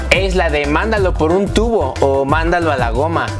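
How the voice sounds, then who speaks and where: A man talks at a moderate pace while clear music is heard in the background. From Mexico. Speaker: YouTube vlogger. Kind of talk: casual talk to camera. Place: home room. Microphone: lapel.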